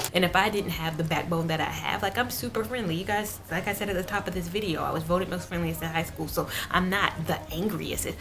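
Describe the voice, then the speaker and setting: Animated in tone, a woman with a fairly low voice speaks very fast with ordinary pitch variation. Audible room echo and noticeable background noise surround her. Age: 20s. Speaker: beauty vlogger. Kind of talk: casual chat.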